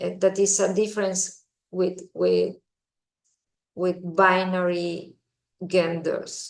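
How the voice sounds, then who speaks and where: Speaking with a Spanish accent, the voice moves at a very slow pace in a monotone, flat delivery broken by long, frequent pauses. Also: woman, medium pitch for a woman. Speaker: visiting professor, economist. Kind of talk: lecture. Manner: halting, many fillers and repetitions.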